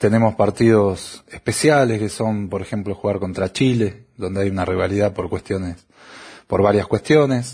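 A man speaks at a moderate pace, somewhat breathy. His pitch varies in an ordinary way. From Argentina. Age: 40s. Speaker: football fan. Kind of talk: recorded testimony.

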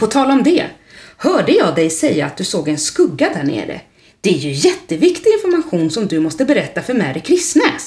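Natural-voiced reading aloud

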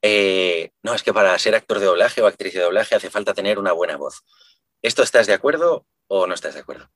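Very fast speech in a dry, close sound with no echo. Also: man. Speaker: podcast host, singer and voice actor. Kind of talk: interview conversation.

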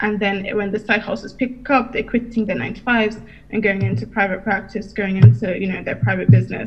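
A woman with a British accent, medium pitch, ordinary pitch variation, and a fairly quick pace. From UK, Nigerian heritage. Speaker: entrepreneur and business coach. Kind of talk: interview.

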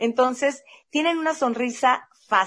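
A woman talks with lively intonation over a quiet background. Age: 50s. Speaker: podcast host. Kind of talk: casual chat.

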